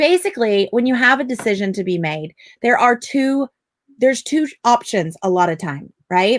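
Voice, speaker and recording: A woman with a fairly high pitch sounds animated, her voice swinging very widely in pitch at a moderate pace, with a dry, close sound, no echo, and a very clean, silent background. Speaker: parenting coach. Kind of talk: live stream sales pitch. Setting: live video stream.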